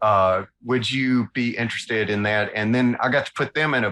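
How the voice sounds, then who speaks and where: This man has a bright, sharp tone and a medium pitch. He speaks with a Southern US accent and ordinary pitch variation. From US South, north Alabama. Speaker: illustrator. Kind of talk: interview, casual chat. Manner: animated.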